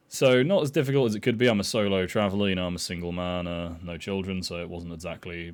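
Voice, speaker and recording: A man with a very deep, low pitch and a British accent, at a very fast pace with ordinary pitch variation, amid audible room echo. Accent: UK. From Ireland. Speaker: vlogger. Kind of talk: personal travel story monologue. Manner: hesitant, many fillers.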